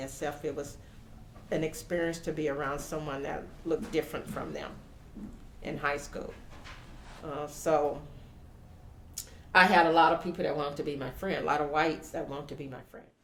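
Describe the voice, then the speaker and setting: With noticeable background noise and audible room echo, a woman with a very deep, low pitch talks at a fairly quick pace, with fairly even intonation, big swings in loudness, and long, frequent pauses. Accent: American. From US South, Louisiana. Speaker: community member, elected school official. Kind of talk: interview testimony. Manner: halting.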